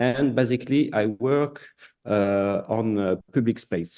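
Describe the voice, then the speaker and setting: With a French accent and a dark, mellow tone, a man speaks at a fairly slow pace and medium pitch, with ordinary pitch variation. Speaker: artist and designer. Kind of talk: presentation. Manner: halting.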